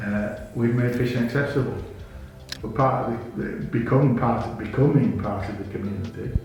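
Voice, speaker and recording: Medium-pitched man at a moderate pace with ordinary pitch variation, music in the background and audible room echo. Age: 60s. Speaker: fishing rod company founder. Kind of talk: interview. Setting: indoors. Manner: halting.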